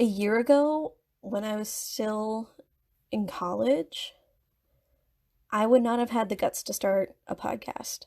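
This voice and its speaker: A woman speaks at a very slow pace with long, frequent pauses, her fairly high pitch showing ordinary variation and a dark, mellow tone on a very clean recording with a silent background. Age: 20s. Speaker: podcast host, writer. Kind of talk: casual monologue podcast. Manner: halting, with pauses and backtracking; off-the-cuff rambling.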